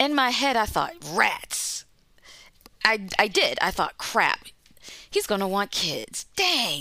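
Very slowly and with long, frequent pauses, a woman with an American accent speaks in a bright, sharp tone, her pitch swinging very widely. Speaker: health policy director. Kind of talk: personal story interview.

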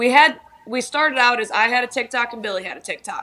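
This woman has an American accent and a high pitch. Her pitch varies in an ordinary way. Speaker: TikTok creator. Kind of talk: casual interview chat.

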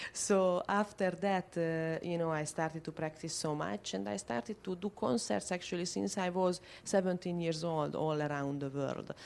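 A woman with a Hungarian accent and a fairly low pitch speaks at a moderate pace with lively intonation and hardly any pauses. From Budapest, Hungary. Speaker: violinist. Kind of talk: interview.

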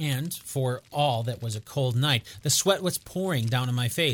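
Heard here is a natural reading voice.

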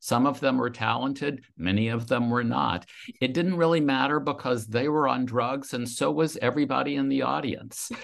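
A man with an American accent and an ordinary speaking voice, medium in pitch, at a moderate pace with ordinary pitch variation, against a quiet background. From US South, Louisiana. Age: 60s. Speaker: author. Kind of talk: interview.

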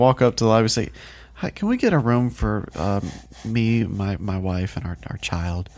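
Lively intonation runs through this man's speech. His pace is moderate. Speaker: podcast co-host. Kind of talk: casual chat.

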